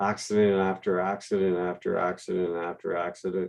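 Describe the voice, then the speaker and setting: A man talks with a very deep, low pitch. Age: 60s. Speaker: livestream host, amputee. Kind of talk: casual chat. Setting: video call.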